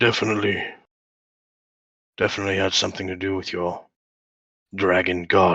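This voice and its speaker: In a put-on character voice, a man talks with a very deep, low pitch and a raspy sound. He moves at a fairly quick pace, broken by long, frequent pauses. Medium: actual play. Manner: gruff, halting.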